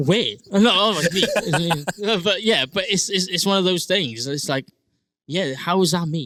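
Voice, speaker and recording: With a South Wales accent, a man speaks at a high pitch and a moderate pace with lively intonation. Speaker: singer-songwriter and rugby player. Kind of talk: casual interview chat. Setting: recording studio. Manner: hesitant, many fillers.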